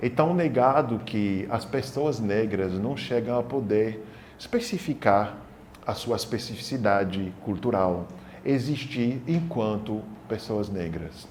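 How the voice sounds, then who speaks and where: Audible room echo fills the space as a man speaks at a very slow pace. His medium pitch shows ordinary variation. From Senegal (childhood), then France. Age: 40s. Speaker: documentary interviewee. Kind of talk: testimony.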